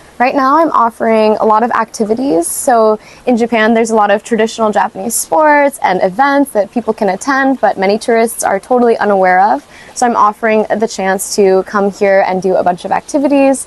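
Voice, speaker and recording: A woman with a fairly high pitch talks at a fairly quick pace with hardly any pauses, very even loudness and ordinary pitch variation, in a dry, close sound with no echo and noticeable background noise. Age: 20s. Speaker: small business owner. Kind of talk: interview monologue.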